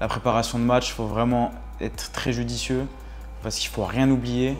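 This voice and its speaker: This man talks fairly quickly at a medium pitch with fairly even intonation. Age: 20s. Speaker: football club kit manager. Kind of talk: casual interview talk. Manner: hesitant, many fillers.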